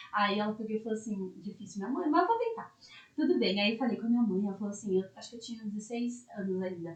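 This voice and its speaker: With ordinary variation in pitch, the words come out very fast. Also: woman, fairly high pitch for a woman. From interior of São Paulo state, Brazil (Itapeva). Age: 20s. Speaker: lawyer. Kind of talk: podcast interview, personal story.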